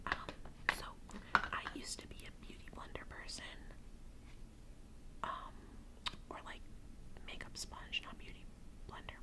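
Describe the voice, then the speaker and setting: There is loud background noise behind this woman's voice. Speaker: ASMR creator. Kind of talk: ASMR makeup get-ready-with-me talk. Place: home room. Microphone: phone near.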